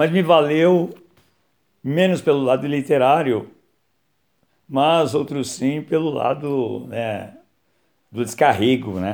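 A man talks at a very slow pace with long, frequent pauses. His pitch is fairly high, with ordinary variation. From São Paulo, Brazil. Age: 60s. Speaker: author and philosophy teacher. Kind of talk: casual talk about his book. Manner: hesitant, many fillers.

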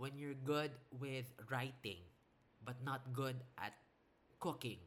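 A man with a medium-pitched voice talks in a somewhat breathy way. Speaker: podcast host. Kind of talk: solo podcast talk.

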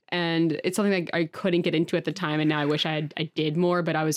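A woman speaks in a very deep, low voice at a very fast pace. Her intonation stays monotone and flat. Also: very clean recording, silent background. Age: 20s. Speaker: costume maker and model. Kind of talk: casual chat.

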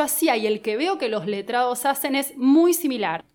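At a moderate pace, a woman talks in an ordinary speaking voice with lively intonation. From Argentina, Buenos Aires. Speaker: lawyer. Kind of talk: casual interview. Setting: studio.

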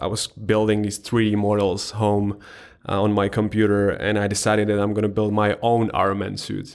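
In a fairly low voice, a man with a non-native accent speaks in a monotone, flat intonation. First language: not English. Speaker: visual effects artist turned startup founder. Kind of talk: casual interview chat.

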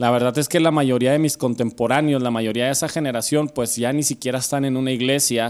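In a very clean recording with a silent background, a man with a Mexican accent speaks at a fairly high pitch with fairly even intonation. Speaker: podcast host. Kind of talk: casual chat. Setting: home studio.

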